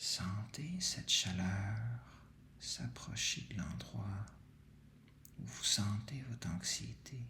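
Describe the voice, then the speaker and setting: Speaking at a very slow pace with long, frequent pauses, a man uses a fairly low pitch with very wide swings, a bright, sharp tone and vocal fry. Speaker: meditation guide. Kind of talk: guided sleep meditation. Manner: soft-spoken, slow.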